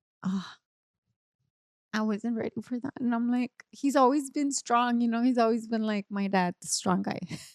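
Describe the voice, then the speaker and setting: A woman with a Spanish accent, fairly high in pitch, ordinary pitch variation, dry and close sound with no echo. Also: moderate pace. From Nuevo Laredo, Mexico. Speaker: podcast guest. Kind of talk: casual chat.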